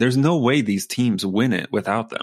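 A man at medium pitch, very fast pace, and ordinary pitch variation. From US South. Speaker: sports podcast co-host. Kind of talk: casual chat.

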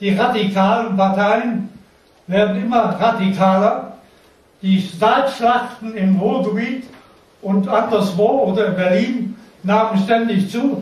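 With audible room echo and noticeable background noise, a man speaks very slowly in a high pitch, his intonation fairly even and his pauses long and frequent. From Lower Saxony, near Hann. Münden. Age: 80s+. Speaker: war veteran. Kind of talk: testimony. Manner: halting.

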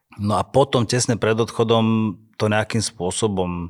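Recorded very cleanly against a silent background, a man with a normal speaking voice talks at a fairly low pitch with ordinary pitch variation. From Slovakia, Handlová. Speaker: dancer and choreographer. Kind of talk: casual interview.

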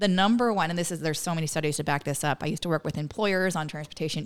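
A woman in an American accent speaks in a fairly low pitch with ordinary pitch variation, in a very clean recording with a silent background. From Northern California. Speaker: transportation policy expert. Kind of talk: podcast interview.

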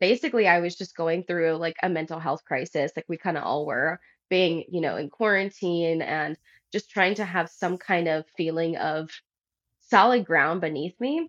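Speaking in an American accent, a woman with a normal speaking voice keeps a moderate pace, a fairly low pitch and ordinary pitch variation. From US South, New Orleans. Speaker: life coach. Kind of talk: casual chat.

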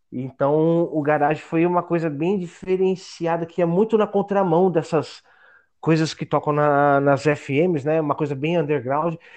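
A man with a plain, everyday voice, fairly high in pitch, at a fairly slow pace with fairly even intonation over a quiet background. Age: 40s. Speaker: podcast contributor, history graduate. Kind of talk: casual interview.

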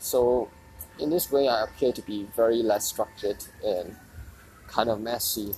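Over background music, a man with a medium-pitched voice speaks with long, frequent pauses. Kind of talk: solo audio journal. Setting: outdoors. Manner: halting.

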